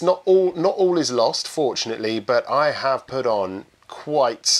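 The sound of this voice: This man's tone is fairly bright, his pitch medium. He speaks at a fairly slow pace with lively intonation.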